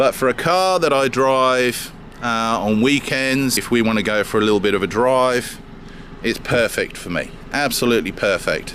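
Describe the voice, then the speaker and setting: A man speaks with a British accent at medium pitch and a moderate pace. There is noticeable background noise. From UK. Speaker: car owner vlogger. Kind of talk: casual car walkaround review. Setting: in and around a parked car. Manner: halting, many fillers.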